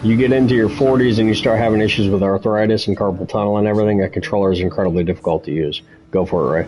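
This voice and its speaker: A man with a fairly low pitch speaks at a very fast pace and very even loudness. Noticeable background noise sits behind him. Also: ordinary pitch variation. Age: 40s. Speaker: sim racing streamer. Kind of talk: casual chat. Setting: live stream.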